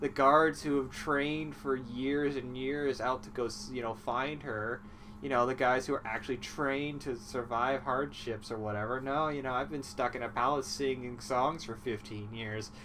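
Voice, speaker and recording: Over noticeable background noise, a man speaks at a medium pitch with ordinary pitch variation. His pace is moderate. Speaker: comedy movie recapper. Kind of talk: casual comedic monologue. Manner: sleepy, rambling.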